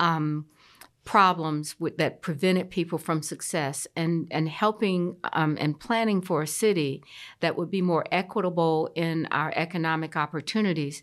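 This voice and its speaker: With an American accent, a woman speaks at a moderate pace in an ordinary speaking voice, fairly low in pitch, on a very clean recording with a silent background. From US South, Columbia, South Carolina. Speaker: city mayor. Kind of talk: interview.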